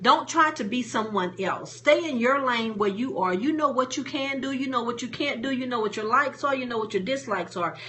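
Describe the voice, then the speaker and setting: Over noticeable background noise, a woman with a high voice speaks at a moderate pace with lively intonation. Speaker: motivational speaker and coach. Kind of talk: live stream talk. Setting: live stream on Facebook and Periscope. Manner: casual, plain-spoken.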